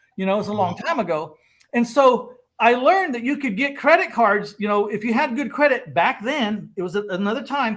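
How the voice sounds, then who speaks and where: A man with an American accent speaks at an extremely high pitch and a fairly quick pace. His tone is animated and his intonation lively. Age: 60s. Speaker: real estate investor. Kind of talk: casual chat.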